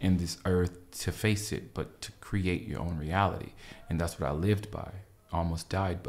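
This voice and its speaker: Somewhat breathy, a man with a very deep, low pitch and an American accent speaks at a moderate pace. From Los Angeles, US. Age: 30s. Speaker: publicist and dancer. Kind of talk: casual chat.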